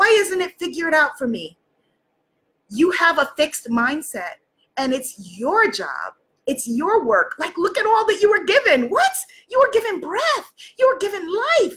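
A woman with an American accent speaks at an extremely high pitch with very wide pitch swings, keeping a moderate pace broken by long, frequent pauses. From New York City. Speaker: life coach and live-stream host; life coach, live-stream host. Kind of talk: motivational livestream talk. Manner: animated. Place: home room. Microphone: webcam.

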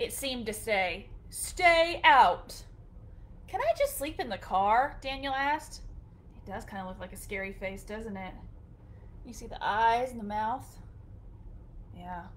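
A woman speaks at a fairly slow pace in a high pitch, with very wide pitch swings and big swings in loudness. She leaves long, frequent pauses. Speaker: storytime reader. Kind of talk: reading a picture book aloud to children. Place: home room. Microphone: webcam.

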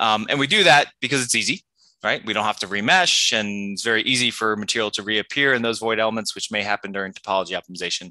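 Very fast and fairly low-pitched, a man talks with a bright, sharp tone and ordinary pitch variation, the sound dry with no echo and the background quiet. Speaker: university researcher. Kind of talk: conference presentation. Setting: video call. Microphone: video call.

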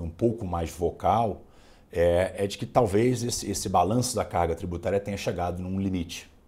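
Somewhat breathy, the man's voice has a dark, mellow tone and a very deep, low pitch. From Brazil. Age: 40s. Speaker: oil company executive; interviewee. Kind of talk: interview. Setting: studio. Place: studio. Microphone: lapel.

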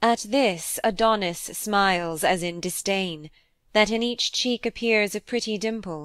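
An ordinary speaking voice from a woman of medium pitch, with ordinary pitch variation, on a very clean recording with a silent background. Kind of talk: poem reading aloud. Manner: measured narrative storytelling, building to vivid action.

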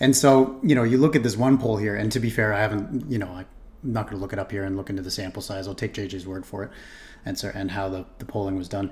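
A man at a fairly low pitch, somewhat breathy, at a very fast pace with ordinary pitch variation and big swings in loudness. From Toronto, Canada. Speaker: streamer reacting to a video. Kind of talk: reaction commentary. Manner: halting, with fillers and repetitions; casual. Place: home room.

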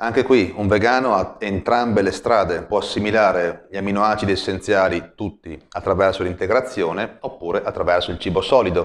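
A fairly low-pitched man at a fairly quick pace with hardly any pauses, ordinary pitch variation and a quiet background. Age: 30s. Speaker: personal trainer. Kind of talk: vlog monologue. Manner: hesitant. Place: home room. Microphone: lapel.

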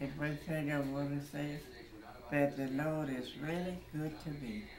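Noticeable background noise sits behind a woman with a very deep, low pitch. She speaks at a fairly slow pace with fairly even intonation. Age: 80s+. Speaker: voter. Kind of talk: interview. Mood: grateful, faith-filled, warm. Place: home room. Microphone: phone near.

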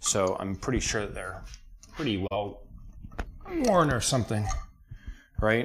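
With an American accent, a man talks at a fairly slow pace, leaving long, frequent pauses, over noticeable background noise. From central North Carolina. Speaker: car mechanic streamer. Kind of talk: casual chat while working on an engine.

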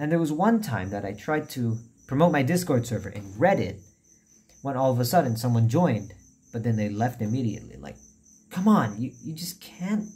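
A man talks at a fairly quick pace with a somewhat breathy, dark, mellow tone. His pitch swings very widely, and his loudness swings a lot too. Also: medium pitch for a man. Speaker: YouTuber. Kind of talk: casual announcement vlog. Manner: quiet. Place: home room. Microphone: phone near.

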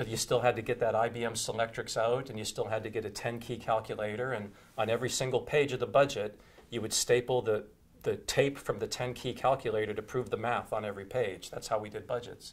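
Somewhat breathy, a man talks at a fairly quick pace in a monotone, flat intonation. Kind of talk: interview answer. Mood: relaxed, anecdotal, amused. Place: studio. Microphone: lapel.

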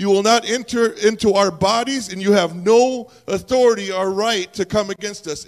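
Someone speaks at a moderate pace in an animated tone, with an American accent. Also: man. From US Upper Midwest, near a reservation. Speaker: visiting native ministry leader; preacher. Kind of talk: sermon. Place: church. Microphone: handheld.

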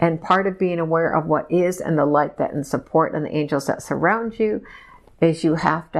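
Against a quiet background, a woman talks with vocal fry and fairly even intonation. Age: 60s. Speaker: hypnosis subject channeling messages. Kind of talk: trance channeling session. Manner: slow. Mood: trance-like, slow, emotional. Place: home room. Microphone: lapel.

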